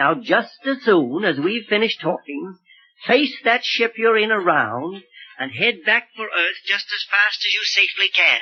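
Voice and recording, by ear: A put-on character voice with lively intonation carries a slightly husky edge. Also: man, high pitch for a man, fairly slow pace.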